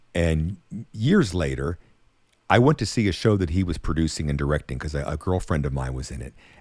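This speaker talks at a fairly quick pace with an American accent, lively intonation and some vocal fry. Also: man, very deep, low pitch for a man. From US, western Pennsylvania (Monongahela, near Pittsburgh). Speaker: singer and show producer. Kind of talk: casual interview chat.

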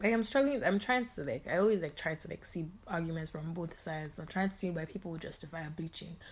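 Somewhat breathy, a woman speaks at a very fast pace and a fairly low pitch. Her loudness swings widely. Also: lively intonation. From England, London. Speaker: podcast co-host. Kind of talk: casual chat.

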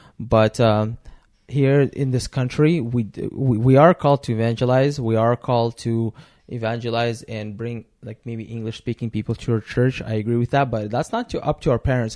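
Dry and close with no echo, the voice has a dark, mellow tone, fairly even intonation and a moderate pace over a quiet background. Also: man, medium pitch for a man. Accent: Russian. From Russia. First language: Russian. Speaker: podcast co-host. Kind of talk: casual chat.

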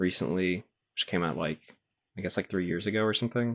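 Recorded dry and close with no echo on a very clean, silent background, a man speaks with a very deep, low pitch and ordinary pitch variation. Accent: American. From US South. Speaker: podcast co-host. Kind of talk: casual chat.

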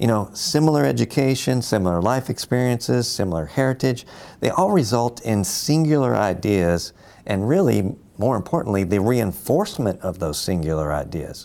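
Heard in a very clean recording with a silent background, a man with a fairly low pitch and a dark, mellow tone moves through very wide pitch swings. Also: moderate pace. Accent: American. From US South, Louisville, Kentucky. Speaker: navy admiral. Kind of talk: interview. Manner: formal.

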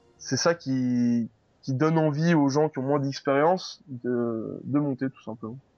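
A man talks in a normal speaking voice at a fairly high pitch. His pace is fairly slow and his intonation fairly even. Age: 20s. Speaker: gamer and streamer. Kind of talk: interview.

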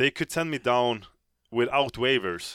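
Speaking at a very slow pace in a Swedish accent, a man uses ordinary pitch variation. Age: 30s. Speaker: professional hockey goaltender. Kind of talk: interview. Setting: studio.

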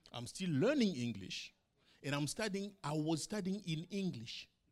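Pitched high for a man, his voice makes very wide pitch swings. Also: long, frequent pauses. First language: not English. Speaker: pastor. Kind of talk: sermon. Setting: church.

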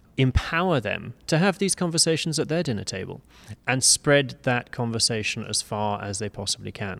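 This man has a medium pitch and a British accent, speaking at a moderate pace with lively intonation. The recording is very clean, with a silent background. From UK. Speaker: business executive and fundraising consultant. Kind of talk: interview. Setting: conference venue.

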